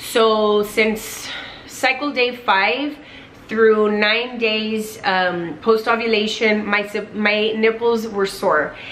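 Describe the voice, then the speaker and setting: A woman talks very slowly at a fairly high pitch with fairly even intonation. Light background noise is present. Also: very even loudness. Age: 20s. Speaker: lifestyle vlogger. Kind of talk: personal story vlog. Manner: casual with frequent fillers. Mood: personal, candid storytelling. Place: home room.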